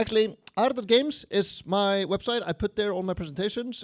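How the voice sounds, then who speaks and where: The speaker has an Icelandic accent, captured in a very clean recording with a silent background. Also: man. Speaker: game programmer and engine evangelist. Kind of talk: conference talk. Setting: stage with audience, livestreamed. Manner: casual, conversational.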